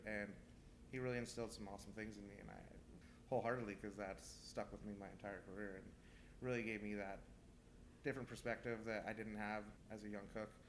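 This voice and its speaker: Someone with a Californian accent talks at a fairly quick pace with fairly even intonation. Audible room echo surrounds the voice. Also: man. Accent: Californian American. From California, Central Valley (Manteca). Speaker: chef. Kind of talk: interview. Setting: restaurant.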